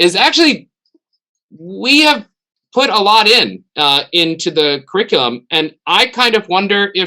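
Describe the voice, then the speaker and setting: A man's high, raised, projected voice, bright and sharp in tone, with very wide pitch swings and very even loudness. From United States. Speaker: theology professor. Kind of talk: webinar discussion. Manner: halting.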